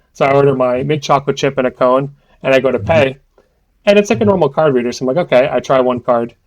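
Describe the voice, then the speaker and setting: A man with an American accent, medium pitch, and a very fast pace. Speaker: podcast co-host, card game player. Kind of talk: casual chat, anecdote. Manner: animated storytelling with fillers.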